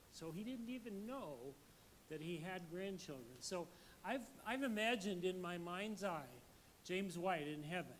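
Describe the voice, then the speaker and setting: Over audible room echo, a man with a high pitch talks at a fairly slow pace with lively intonation. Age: 70s. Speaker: pastor. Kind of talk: sermon.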